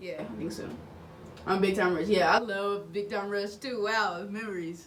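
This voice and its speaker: Over noticeable background noise and audible room echo, a woman talks at a moderate pace with medium pitch and fairly even intonation. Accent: American. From Oklahoma. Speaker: YouTuber. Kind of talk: video reaction commentary.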